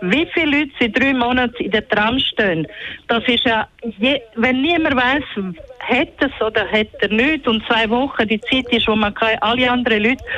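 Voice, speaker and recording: Against noticeable background noise, a woman with a high pitch talks at a moderate pace. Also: ordinary pitch variation, very even loudness. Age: 60s. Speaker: caller. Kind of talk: call-in radio talk. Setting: phone call. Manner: halting.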